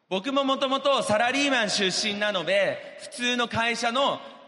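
In a room with audible echo, a man speaks in a high, raised, projected voice. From Japan. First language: Japanese (speaking Portuguese). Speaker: businessman. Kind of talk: motivational speech. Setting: stage with audience.

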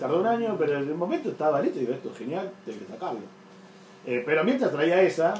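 Very fast and in a Rioplatense accent, a man with a fairly high pitch makes very wide pitch swings and big swings in loudness, with audible room echo and noticeable background noise. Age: 40s. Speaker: comics artist. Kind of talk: casual chat.

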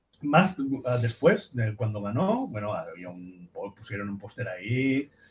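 A man's somewhat breathy voice at a medium pitch. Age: 50s. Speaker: architect and music student. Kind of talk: casual chat.

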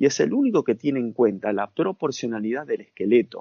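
Speaking at a moderate pace, a man with an Argentine accent makes very wide pitch swings. His voice rises and falls sharply. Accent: Argentine Spanish (Rioplatense). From Argentina. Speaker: sports nutritionist. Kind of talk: interview.

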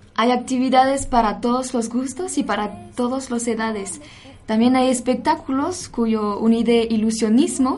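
The speech comes at a fairly slow pace with ordinary pitch variation, and audible room echo can be heard. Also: woman, high pitch for a woman. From France. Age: 20s. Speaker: cultural center staff. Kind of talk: radio chat.

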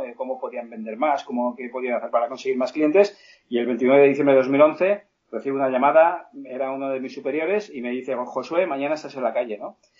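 Speaking at a fairly quick pace, a man uses a fairly high pitch and ordinary pitch variation. His volume swings a lot. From Spain, Alicante. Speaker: sales trainer and author. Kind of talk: interview. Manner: halting. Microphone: poor connection.

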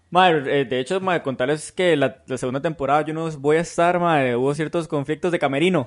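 A man talks at a very fast pace with a Costa Rican accent. His pitch is fairly high. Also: fairly even intonation, hardly any pauses. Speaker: podcast co-host. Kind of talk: casual chat.

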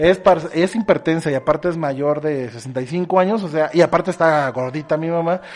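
A man with a Mexican accent, high pitch, moderate pace, and ordinary pitch variation. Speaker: podcast host. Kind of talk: casual chat.

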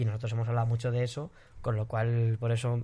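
Somewhat breathy and dark, mellow in tone, a man of medium pitch talks at a fairly quick pace with monotone, flat intonation. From Spain. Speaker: singer. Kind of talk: casual chat.

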